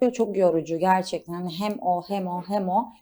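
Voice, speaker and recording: The recording is very clean, the background silent. A woman of medium pitch speaks with a dark, mellow tone. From Istanbul, Turkey. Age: 20s. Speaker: model and stylist. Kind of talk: studio interview. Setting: studio.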